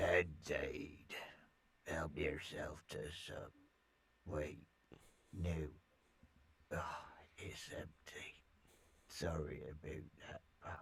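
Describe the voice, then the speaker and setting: Putting on a character voice, a man speaks at a very slow pace with very deep, low pitch, a monotone, flat intonation, and long, frequent pauses. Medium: video game. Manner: laid-back, guarded.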